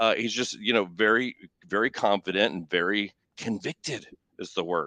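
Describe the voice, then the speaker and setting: A man with a Texan accent has a bright, sharp tone and ordinary pitch variation, recorded with a dry, close sound and no echo. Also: fairly low pitch for a man, moderate pace. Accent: Texan Southern US. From East Texas. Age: 40s. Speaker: real estate executive. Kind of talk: interview. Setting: live online show. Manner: casual, hesitant with fillers.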